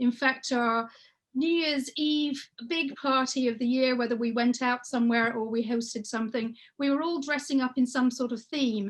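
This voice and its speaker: A woman with an English accent speaks in a high voice at a moderate pace, her intonation fairly even and the background quiet. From England. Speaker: children's book author and illustrator. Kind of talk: workshop presentation. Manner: conversational, with frequent hesitations.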